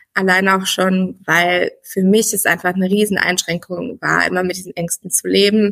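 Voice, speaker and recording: The delivery moves at a moderate pace in a flat monotone. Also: woman, medium pitch for a woman, hardly any pauses. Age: 30s. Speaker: former coaching client, pregnant woman. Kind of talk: interview.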